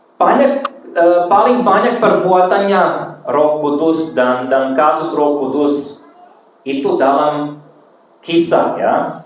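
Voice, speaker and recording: A man speaks at a very slow pace in a fairly high voice with ordinary pitch variation. Noticeable background noise and audible room echo fill the recording. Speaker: preacher. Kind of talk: sermon. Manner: halting, self-correcting.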